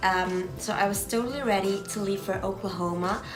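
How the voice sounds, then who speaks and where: With a non-native accent, a woman speaks at a moderate pace and medium pitch, her intonation fairly even, with audible room echo and music in the background. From Belgium. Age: 20s. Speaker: exchange student vlogger. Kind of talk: casual vlog talk. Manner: hesitant, many fillers.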